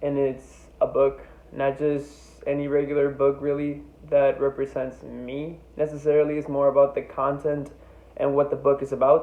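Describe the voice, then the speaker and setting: At a fairly slow pace, a man talks with a fairly high pitch. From Mexico, Tijuana, then Iowa from age nine. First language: Spanish. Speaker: student. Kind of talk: class presentation. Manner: halting, many fillers.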